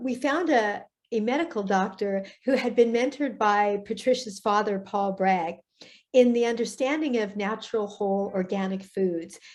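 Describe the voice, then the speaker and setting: At a fairly slow pace, a woman speaks in an ordinary speaking voice, fairly high in pitch with ordinary pitch variation, over a quiet background. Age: 60s. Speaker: author and guest. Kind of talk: interview testimony.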